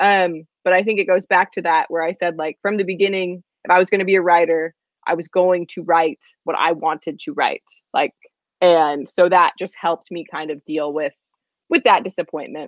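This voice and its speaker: A woman with a normal speaking voice talks at a moderate pace. Her pitch is fairly low and her intonation fairly even. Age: 20s. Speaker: novelist. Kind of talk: interview.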